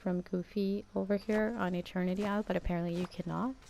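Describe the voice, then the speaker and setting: A woman speaks at a fairly slow pace with a Danish accent, her pitch medium. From Denmark. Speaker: gaming YouTuber. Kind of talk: gameplay commentary.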